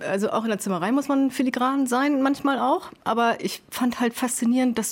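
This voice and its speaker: A woman's high voice at a moderate pace with ordinary pitch variation, amid noticeable background noise. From northern Germany, Sylt. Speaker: carpenter. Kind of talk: casual chat. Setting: over lunch.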